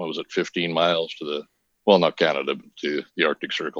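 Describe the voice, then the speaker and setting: A man with an American accent speaks with fairly even intonation. The sound is dry and close with no echo, and the background is quiet. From Minnesota. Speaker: nutrition health coach. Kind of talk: casual interview.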